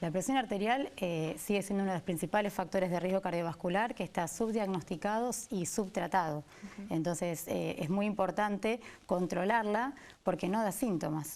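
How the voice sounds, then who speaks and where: A woman speaks at a moderate pace with a medium pitch. It is an unremarkable speaking voice with ordinary pitch variation. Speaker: cardiologist. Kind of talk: interview answer.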